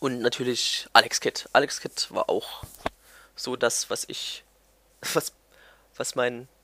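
A man speaks at a very slow pace, leaving long, frequent pauses. The sound is dry and close, with no echo. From Germany, Thuringia (near Erfurt). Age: 20s. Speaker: gaming YouTuber. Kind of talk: casual vlog monologue. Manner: hesitant, many fillers.

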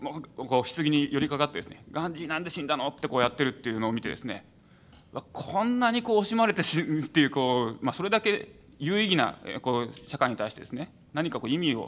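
Talking at a very fast pace, a man uses a fairly high pitch and very wide pitch swings. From Saitama, Japan. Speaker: venture support organization head; panelist. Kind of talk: panel discussion. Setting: stage with audience. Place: hall. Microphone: podium.

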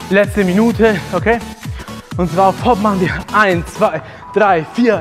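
A man talks with ordinary pitch variation. Clear music plays in the background. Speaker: thai boxing trainer. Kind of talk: workout instruction. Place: gym.

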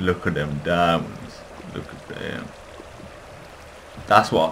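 Noticeable background noise sits under this recording. A man speaks fairly slowly in a very deep, low pitch. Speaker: gamer. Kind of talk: gameplay commentary.

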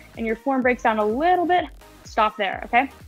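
Faint music can be heard behind the voice. The speaker is a woman. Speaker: fitness instructor. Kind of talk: tutorial. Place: garage.

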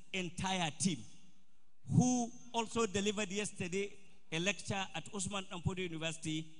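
This man speaks with a northern Nigerian accent. His intonation is lively. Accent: Nigerian Hausa English. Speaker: event organizer. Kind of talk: formal speech. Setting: stage with audience, PA system. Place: hall. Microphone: podium.

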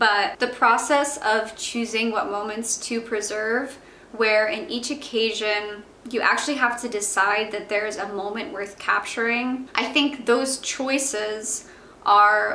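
A woman talks very slowly, her voice carrying audible echo from the room. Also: fairly even intonation. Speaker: vlogger. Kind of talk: casual vlog chat. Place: home room.

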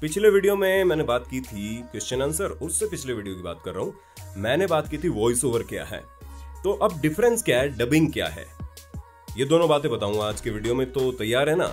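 The pitch swings very widely at a moderate pace. Faint music sits in the background. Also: man. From Jaipur, Rajasthan, India. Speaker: voice over artist and theatre artist. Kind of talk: casual explainer talk to camera. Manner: friendly, conversational. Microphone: studio mic.

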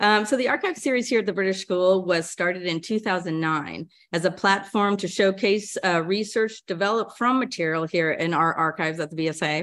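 A woman speaks at a moderate pace with ordinary pitch variation and hardly any pauses. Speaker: archivist. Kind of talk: lecture introduction. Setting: stage with audience. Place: hall.

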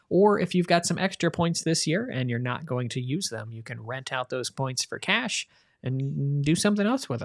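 A man speaks in a normal speaking voice at a moderate pace, his pitch fairly high. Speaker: podcast host. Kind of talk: casual chat.

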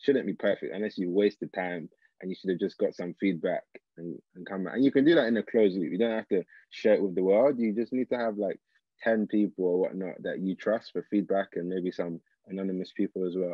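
A man with a London accent, fairly low pitch, ordinary pitch variation, and fairly quick pace, in dry sound with no echo against a quiet background. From South London, England. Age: 20s. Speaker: engineer and social entrepreneur; guest. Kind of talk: interview. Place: home room. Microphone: video call.

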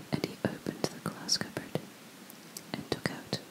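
A woman speaks in a whisper. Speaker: ASMR creator. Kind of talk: fairy tale reading. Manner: whispered. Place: home room. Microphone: studio mic.

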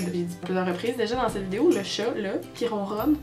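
Clear music plays behind a woman speaking at a moderate pace with a Quebec accent and lively intonation. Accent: Québécois French. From Quebec, Canada. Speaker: vlogger. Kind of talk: casual talk to camera. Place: home room. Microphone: webcam.

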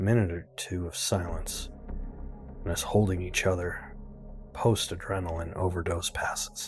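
Music plays in the background while the words come at a moderate pace. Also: man. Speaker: YouTube reviewer reading horror stories. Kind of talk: horror story reading.

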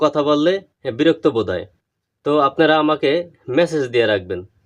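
A man at a fairly high pitch, an unremarkable speaking voice. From Bangladesh, Madaripur district. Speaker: craftsman selling mould dies. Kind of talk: tutorial and sales talk to camera.

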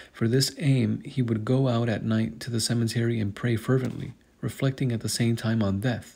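In a very clean recording with a silent background, a man talks at a moderate pace with a somewhat breathy, dark, mellow tone and fairly even intonation. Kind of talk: hagiography reading.

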